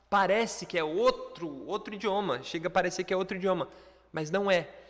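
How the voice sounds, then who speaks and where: This man's tone is animated and high-pitched, with ordinary pitch variation. He speaks at a moderate pace. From Brazil. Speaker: online English teacher. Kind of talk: lecture.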